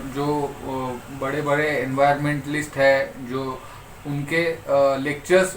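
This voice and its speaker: Spoken with a Marathi accent and fairly even intonation, the clip has noticeable background noise and audible room echo. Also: man. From Maharashtra, India. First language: Marathi (speaking Hindi). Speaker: environmental volunteer. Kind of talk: interview. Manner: halting, many fillers.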